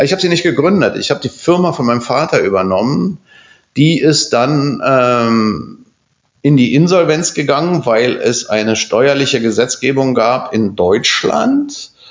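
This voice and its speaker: Using a normal speaking voice, the speaker talks at a fairly slow pace with lively intonation and very even loudness. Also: man, fairly high pitch for a man. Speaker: architect. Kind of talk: casual chat. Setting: office.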